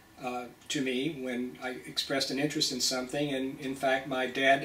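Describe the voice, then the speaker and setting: Over noticeable background noise and audible room echo, a man with an American accent speaks in a flat, monotone way. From US South, Nashville, Tennessee. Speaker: pathologist. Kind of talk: personal talk to a professional group. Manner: hesitant, many fillers.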